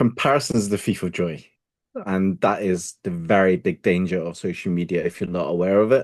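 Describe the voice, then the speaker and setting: Over a quiet background, a man talks at a fairly quick pace in a very deep, low pitch, with ordinary pitch variation. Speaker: self-leadership coach. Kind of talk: interview.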